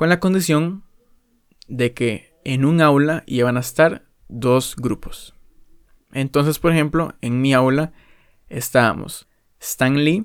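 Long, frequent pauses mark this man's very slow pace. His pitch is fairly high, with ordinary pitch variation. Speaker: podcaster. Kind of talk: casual monologue.

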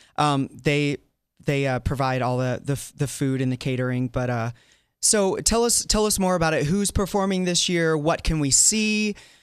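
In a very clean recording with a silent background, a man with an unremarkable speaking voice and an American accent talks at a moderate pace in a fairly high pitch, with lively intonation and very even loudness. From US South. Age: 40s. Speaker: fill-in talk show host. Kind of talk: casual chat.

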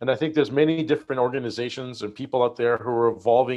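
In a quiet setting, a man's medium-pitched voice shows ordinary pitch variation. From Canada. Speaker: physical therapist, health tech executive. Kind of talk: interview. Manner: halting.

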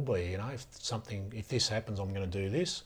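A somewhat breathy voice with an Australian accent, fairly quick pace, and fairly even intonation. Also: man. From Australia, rural New South Wales (Riverina). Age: 40s. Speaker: former police officer and bodyguard, mental health advocate. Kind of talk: interview.

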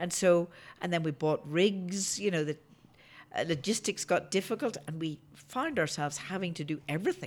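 A woman's fairly low voice with a Northern Irish accent and ordinary pitch variation, at a moderate pace, on a very clean recording with a silent background. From Northern Ireland. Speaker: geologist and oil entrepreneur. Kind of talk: casual interview.

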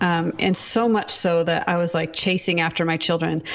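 With an American accent and an unremarkable speaking voice, a woman talks at a moderate pace in a fairly low pitch. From US Pacific Northwest. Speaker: author and speaker. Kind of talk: testimony.

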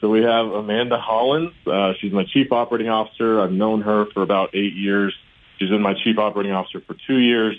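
Speaking at a very fast pace with an American accent, a man keeps a fairly low pitch and fairly even intonation. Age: 30s. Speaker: charity CEO. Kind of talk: interview. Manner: polite, formal.

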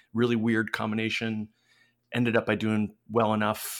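An ordinary speaking voice moves at a moderate pace in a very clean recording with a silent background. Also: man. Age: 40s. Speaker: video game designer. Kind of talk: interview.

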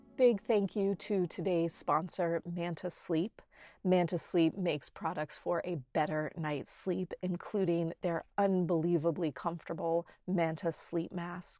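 A woman speaks at a fairly low pitch in a dark, mellow, soothing and warm tone with fairly even intonation, recorded very clean against a silent background with a dry, close sound and no echo. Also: fairly slow pace, hardly any pauses. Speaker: meditation teacher and podcast host. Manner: slow, soothing and unhurried, with soft invitational phrasing; warm and reassuring, permission-giving tone.

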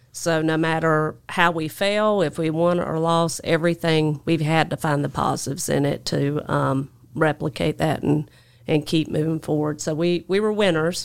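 A woman's very deep, low voice with a Southern US accent, a moderate pace and fairly even intonation on a very clean recording with a silent background. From US South, North Carolina. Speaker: construction equipment dealer general manager. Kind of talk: casual interview chat. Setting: studio.

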